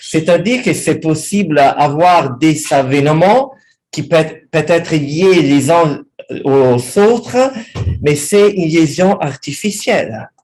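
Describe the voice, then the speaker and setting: Speaking very slowly, a man with a strong Italian accent uses lively intonation. His pitch sits fairly high. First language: Italian (speaking French). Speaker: history professor. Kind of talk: academic talk, unscripted. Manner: halting.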